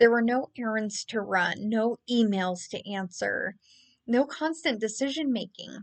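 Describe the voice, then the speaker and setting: At a fairly slow pace, a woman with a plain, everyday voice talks at a fairly high pitch with ordinary pitch variation. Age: 30s. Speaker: travel vlogger. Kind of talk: monologue to camera.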